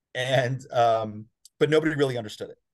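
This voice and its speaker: The background stays quiet as a man speaks at a fairly quick pace with an American accent. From New Jersey, US. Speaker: lawyer. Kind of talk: interview. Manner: hesitant, many fillers.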